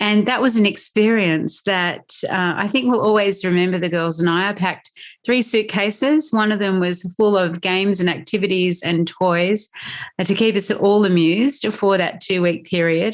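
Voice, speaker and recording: Over noticeable background noise, a woman with an Australian accent speaks at a medium pitch and a moderate pace with ordinary pitch variation. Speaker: podcast host, mindset coach. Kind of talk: solo podcast talk.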